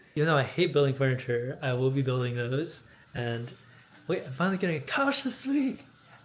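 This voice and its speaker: A man with an American accent speaks at a fairly quick pace in a fairly high pitch, with ordinary pitch variation. Room echo is audible. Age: 20s. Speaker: vlogger. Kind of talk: casual vlog monologue. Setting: at home.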